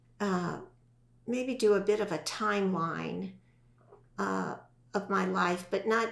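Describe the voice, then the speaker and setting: Over noticeable background noise, a woman with a medium pitch speaks very slowly with fairly even intonation. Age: 60s. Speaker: podcast guest. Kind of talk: testimony.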